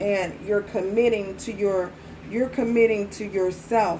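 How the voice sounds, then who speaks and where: Audible room echo surrounds a woman who talks fairly slowly at a medium pitch with fairly even intonation. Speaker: tarot reader. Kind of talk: tarot reading. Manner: repetitive; soft-spoken.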